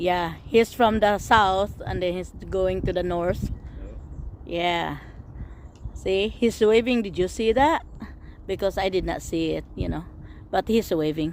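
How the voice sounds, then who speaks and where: Pausing long and often, a woman speaks at a fairly slow pace in a medium pitch with ordinary pitch variation. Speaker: vlogger. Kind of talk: casual narration of home video. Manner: loud; animated.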